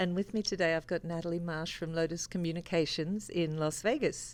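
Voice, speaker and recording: With an Australian accent and fairly even intonation, the voice comes through on a very clean recording with a silent background. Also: woman. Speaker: interviewer, sales engineer. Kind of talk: interview.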